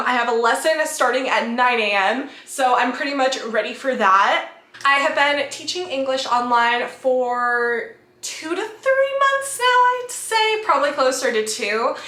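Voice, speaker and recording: In a raised, projected voice, a woman with a high pitch speaks at a fairly slow pace with hardly any pauses and ordinary pitch variation, with audible room echo. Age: 20s. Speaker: travel vlogger. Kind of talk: vlog narration. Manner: casual.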